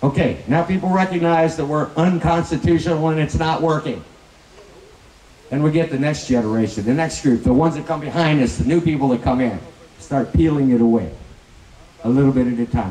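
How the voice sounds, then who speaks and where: Over noticeable background noise, a man speaks quite quickly at a fairly high pitch with ordinary pitch variation. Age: 60s. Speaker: political candidate. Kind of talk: political speech.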